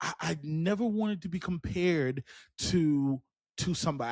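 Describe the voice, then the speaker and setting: Animated man with an American accent and lively intonation, in a very clean recording with a silent background. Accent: Charleston accent, noticed by others. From South Carolina, Charleston. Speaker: podcast host and teacher. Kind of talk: motivational podcast monologue. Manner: animated, conversational with repetitions.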